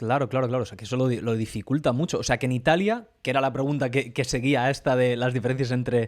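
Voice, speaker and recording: With fairly even intonation and a medium pitch, a man speaks very quickly. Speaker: podcast host. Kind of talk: casual podcast conversation.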